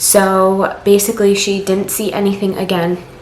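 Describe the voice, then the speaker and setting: Against noticeable background noise and audible room echo, a woman talks at a medium pitch. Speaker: vlogger. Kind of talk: personal vlog. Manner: halting.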